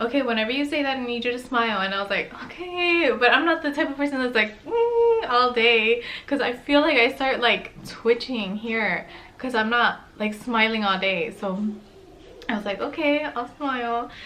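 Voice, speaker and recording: A woman's high voice at a moderate pace with ordinary pitch variation, amid noticeable background noise and audible room echo. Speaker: lifestyle vlogger. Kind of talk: casual chat. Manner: soft-spoken.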